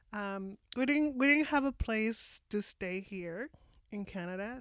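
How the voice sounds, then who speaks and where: On a very clean recording with a silent background, a woman with a Mexican accent speaks at a medium pitch and a very slow pace. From Mexico. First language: Spanish. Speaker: immigrant sharing her experience. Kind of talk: interview. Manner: halting.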